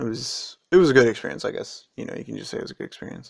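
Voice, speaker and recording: Here a man talks at a very fast pace. He has an American accent. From United States. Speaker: vlogger. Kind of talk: casual video commentary. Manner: rambling with many fillers.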